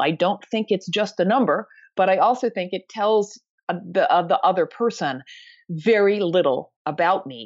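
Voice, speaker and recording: With lively intonation, a normal speaking voice moves along at a moderate pace. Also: woman, quiet background. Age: 60s. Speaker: author and anti-ageism advocate. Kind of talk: interview conversation.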